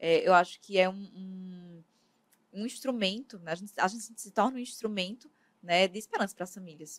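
A woman with an unremarkable speaking voice talks at medium pitch and a moderate pace, her intonation fairly even but her loudness swinging widely. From Brazil, Paraíba (Campina Grande). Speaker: medical geneticist. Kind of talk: interview.

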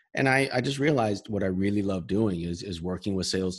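A man's very deep, low voice with an American accent at a very fast pace. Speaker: sales consultant and author. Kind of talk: interview. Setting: video call.

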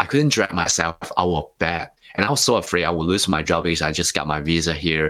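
A man in a Hong Kong accent with a very deep, low voice, a bright, sharp tone, ordinary pitch variation and a fairly quick pace. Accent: Hong Kong Cantonese-accented English. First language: Cantonese. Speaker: author and speaker. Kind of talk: interview.

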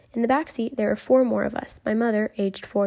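Someone reads in an unforced voice.

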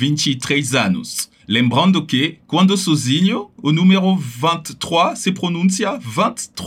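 The voice carries a French accent with vocal fry. Its pitch swings very widely. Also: man. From France, Paris. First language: French (speaking Portuguese). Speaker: language teacher. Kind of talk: pronunciation tutorial.

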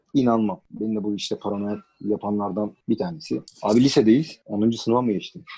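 The voice has a dark, mellow tone and ordinary pitch variation, moving at a moderate pace with hardly any pauses. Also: man, fairly low pitch for a man. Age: 30s. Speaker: podcast guest. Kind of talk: casual chat.

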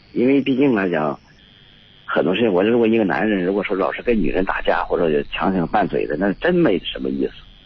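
Fairly low pitch from a man, with very wide pitch swings at a fairly quick pace. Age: 50s. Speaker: retired factory worker, caller. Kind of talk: call-in advice conversation. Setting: phone call. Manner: halting, many fillers.

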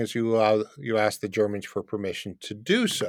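A man's plain, everyday voice with a Canadian accent, medium pitch and moderate pace. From Canada, Windsor, Ontario. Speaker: international tax and immigration advisor. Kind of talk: interview.

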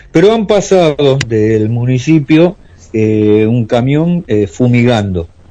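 In a dark, mellow tone, a man speaks at a very slow pace with very wide pitch swings. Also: medium pitch for a man. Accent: Argentine. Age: 50s. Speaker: musician and long-distance driver. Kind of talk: radio interview. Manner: hesitant.

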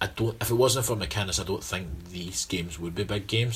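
A man speaks with a Scottish accent. His pitch varies in an ordinary way. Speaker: football podcast co-host. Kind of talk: casual chat.

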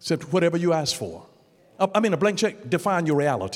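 The tone is animated and the pace fairly quick. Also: man. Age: 60s. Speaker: pastor. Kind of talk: sermon.

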